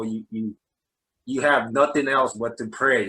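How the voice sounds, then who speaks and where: This man talks at a fairly slow pace with a New Jersey accent. His tone is bright and sharp, his intonation flat and monotone. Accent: New Jersey American. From New Jersey, US. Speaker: basketball coach. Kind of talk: interview. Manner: halting, many fillers.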